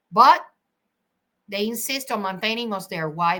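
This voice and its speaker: On a very clean recording with a silent background, a woman sounds animated, her tone bright and sharp. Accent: Spanish. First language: Spanish. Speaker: attorney. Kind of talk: legal commentary monologue. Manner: halting.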